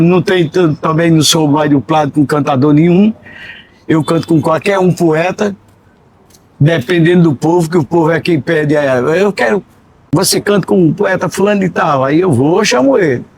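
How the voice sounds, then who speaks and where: The man speaks in a high voice with ordinary pitch variation. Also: moderate pace, very even loudness. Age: 70s. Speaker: repentista poet and radio presenter. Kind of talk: casual interview chat.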